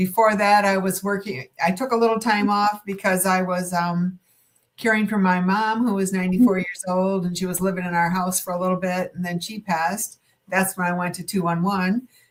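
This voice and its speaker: Somewhat breathy, a woman speaks at a moderate pace with a medium pitch and fairly even intonation. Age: 70s. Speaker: podcast guest, retired helpline worker. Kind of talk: casual chat. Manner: halting.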